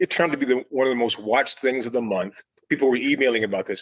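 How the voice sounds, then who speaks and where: A man with an American accent talks at a medium pitch, his sound dry and close with no echo. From Chicago South Side. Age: 60s. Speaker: architecture critic. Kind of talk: interview.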